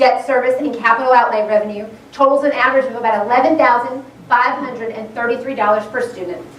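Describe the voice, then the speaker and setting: A woman with a high pitch speaks very fast with fairly even intonation, amid noticeable background noise and audible room echo. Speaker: school board member. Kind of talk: public presentation.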